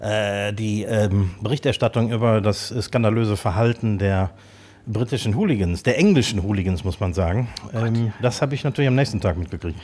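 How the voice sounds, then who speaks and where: Here is a man with a plain, everyday voice and fairly low pitch. He talks at a moderate pace with ordinary pitch variation. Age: 50s. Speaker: podcast co-host, chef/restaurateur. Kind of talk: casual chat. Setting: studio, sitting across from co-host.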